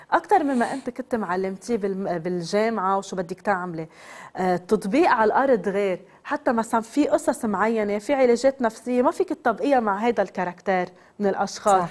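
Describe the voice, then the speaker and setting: A woman with a Lebanese accent talks at a moderate pace in a fairly high voice with lively intonation. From Lebanon. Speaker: psychotherapist; guest. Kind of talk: TV interview. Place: studio. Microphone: lapel.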